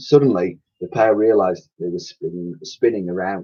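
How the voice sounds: A man with a dark, mellow tone and a slightly husky edge talks at a moderate pace, his low pitch showing ordinary variation.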